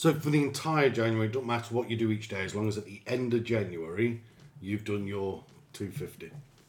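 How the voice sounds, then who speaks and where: A man talks fairly quickly in a normal speaking voice with ordinary pitch variation. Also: medium pitch for a man. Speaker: podcast host. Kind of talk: casual banter. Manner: joking, chatty.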